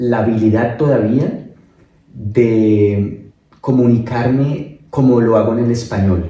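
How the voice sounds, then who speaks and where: Audible room echo surrounds a man speaking at a very slow pace and medium pitch, with very even loudness and fairly even intonation. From Colombia, Bogotá. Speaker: migrant interviewee. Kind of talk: casual interview.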